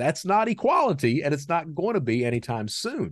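A man with vocal fry and very wide pitch swings against a quiet background. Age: 50s. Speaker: cybersecurity consultant, former cybercriminal. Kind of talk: interview. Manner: well-spoken.

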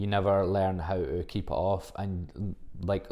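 A man speaks with a Scottish accent. His very deep, low voice has a dark, mellow tone. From Scotland, Livingston (West Lothian). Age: 20s. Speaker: fitness coach. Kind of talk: casual solo podcast monologue. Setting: home recording, solo podcast.

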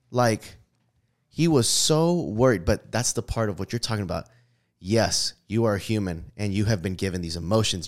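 Speaking with an American accent, a man uses an unremarkable speaking voice at a medium pitch and moderate pace with lively intonation, on a very clean recording with a silent background. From US, urban neighborhood. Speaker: podcast co-host. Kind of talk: casual faith conversation.

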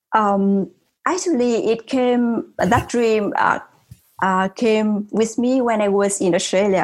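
A woman with a Vietnamese accent speaks at a very slow pace. Her loudness stays very even, and her pitch varies in an ordinary way. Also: fairly high pitch for a woman. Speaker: tech company CEO. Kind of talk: interview. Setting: remote call.

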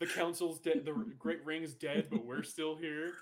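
A man speaks in a put-on character voice, fairly high in pitch, with ordinary pitch variation at a moderate pace. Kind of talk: radio announcer style. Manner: grave, dramatic.

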